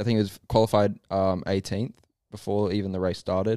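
A very clean recording with a silent background captures a man speaking at a moderate pace in a fairly low pitch with monotone, flat intonation. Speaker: podcast co-host. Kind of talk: casual banter about sports. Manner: rambling, joking, banter.

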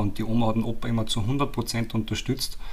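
With audible room echo, a man talks in a monotone, flat intonation. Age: 30s. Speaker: trainee naturopath, grandson of a company founder. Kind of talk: interview.

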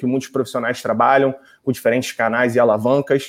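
A man speaks against a quiet background. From Brazil, Rio de Janeiro. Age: 20s. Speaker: voice technology agency executive. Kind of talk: interview.

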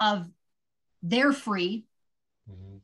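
Bright, sharp tone in an American accent at a moderate pace. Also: woman. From California, Santa Cruz. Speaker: endurance athlete and blogger. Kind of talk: casual interview chat.

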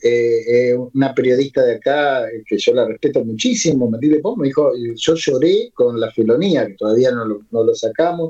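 Dark, mellow tone from a man at medium pitch. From Buenos Aires. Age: 60s. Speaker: lyricist and poet. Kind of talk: interview. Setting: remote call. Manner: halting.

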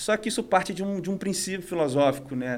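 A man speaks in a normal speaking voice at a fairly quick pace. His pitch variation is ordinary. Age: 40s. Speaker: conductor and musician. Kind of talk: casual interview. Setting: studio.

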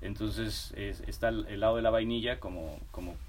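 This man's voice carries audible echo from the room. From Mexico, Guadalajara and Mexico City. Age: 40s. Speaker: food products entrepreneur. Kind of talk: casual interview.

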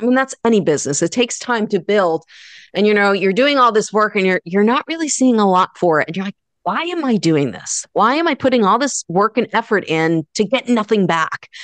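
In a dry, close recording with no echo and a quiet background, a woman with a fairly high pitch makes very wide pitch swings. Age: 40s. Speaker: guitar instructor and entrepreneur. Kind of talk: interview conversation. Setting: video call.

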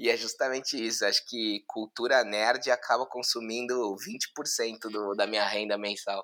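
A man with a bright, sharp tone speaks at medium pitch in a monotone, flat way. His pace is fairly slow, with hardly any pauses. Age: 30s. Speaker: digital marketing executive. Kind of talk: casual chat.

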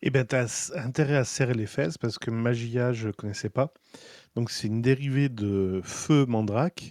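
A man's ordinary speaking voice at medium pitch, with ordinary pitch variation, a moderate pace, and a dry, close sound with no echo. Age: 40s. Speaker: podcast co-host. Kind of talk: casual chat.

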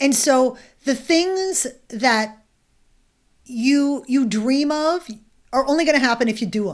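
In an animated tone, a woman with a high pitch talks at a fairly slow pace, using ordinary pitch variation and long, frequent pauses. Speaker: author and swagger coach. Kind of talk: casual interview. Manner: animated, candid.

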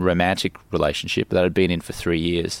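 A man with an Australian accent is heard on a very clean recording with a silent background. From Australia (Brisbane). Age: 40s. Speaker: life coach. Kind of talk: casual chat. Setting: outdoors in a garden.

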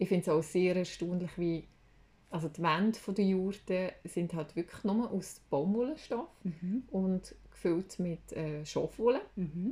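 Speaking very slowly with a Swiss accent, a woman has a medium pitch, a dark, mellow tone, a somewhat breathy quality and ordinary pitch variation. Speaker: podcast co-host. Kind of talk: casual chat. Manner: animated.

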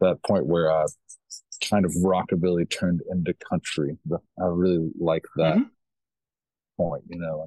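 A man with a Kentucky accent, very deep, low pitch, dark, mellow tone and monotone, flat intonation, at a moderate pace with long, frequent pauses, in a dry, close sound with no echo. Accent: Kentucky Southern US. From US South, small-town Kentucky. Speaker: musician. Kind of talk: casual interview. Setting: remote call from home porch.

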